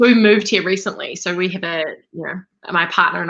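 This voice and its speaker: Bright and sharp in tone, a woman speaks at medium pitch with an energetic delivery and a fairly quick pace. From New Zealand. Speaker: life coach, entrepreneur. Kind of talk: interview.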